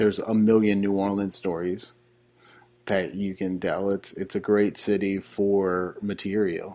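A man with an American accent talks at a fairly slow pace in a fairly low voice with a dark, mellow tone. The recording is very clean, with a silent background. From Elizabeth, New Jersey. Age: 30s. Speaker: filmmaker and musician. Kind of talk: casual interview.

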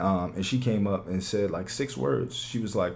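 There is audible room echo as a man with a fairly low voice speaks at a fairly quick pace. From US, West Philadelphia. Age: 20s. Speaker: podcast guest. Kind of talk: casual chat.

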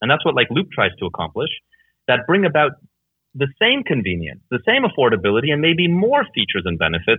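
A man talks at a very fast pace. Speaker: entrepreneur. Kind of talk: interview. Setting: Skype call.

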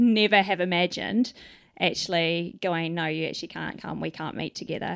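A New Zealand accent on a very clean recording with a silent background. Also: woman. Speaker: Salvation Army officer. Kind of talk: casual interview. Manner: halting.

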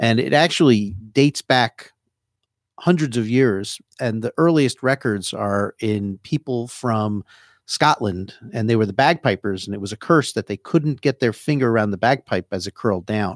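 In a very clean recording with a silent background, a man with a New Jersey accent is heard in a dry, close sound with no echo. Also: medium pitch for a man, lively intonation, moderate pace. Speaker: hand surgeon. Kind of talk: casual radio interview. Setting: radio studio.

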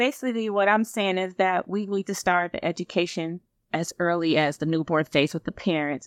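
With an American accent, a woman in a normal speaking voice talks at a moderate pace and medium pitch with ordinary pitch variation, in a dry, close sound with no echo against a quiet background. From Michigan. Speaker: nurse practitioner and nursing professor. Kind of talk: interview.

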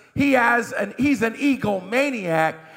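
A man's raised, projected voice at a very slow pace, with very wide pitch swings and noticeable background noise. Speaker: pastor. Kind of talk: sermon. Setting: church. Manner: animated.

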